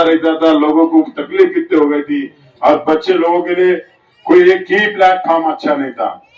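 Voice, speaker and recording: This man's voice sits high in pitch and varies in an ordinary way. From Maharashtra, Yeola (Nashik district). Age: 60s. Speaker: politician. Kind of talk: campaign speech. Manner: animated.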